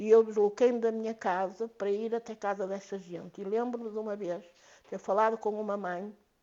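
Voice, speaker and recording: A woman's medium-pitched voice moves at a moderate pace, her intonation monotone and flat. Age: 70s. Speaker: activist mother. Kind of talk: podcast interview.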